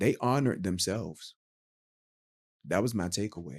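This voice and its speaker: A man's voice sits fairly low, moving at a moderate pace with ordinary pitch variation. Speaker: YouTube reviewer. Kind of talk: casual review monologue. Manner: loud; animated.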